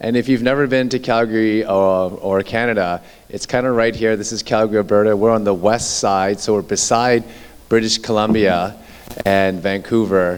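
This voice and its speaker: A man with an unremarkable speaking voice talks at a fairly low pitch, his intonation fairly even. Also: moderate pace. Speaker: orthopedic surgeon. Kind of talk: lecture.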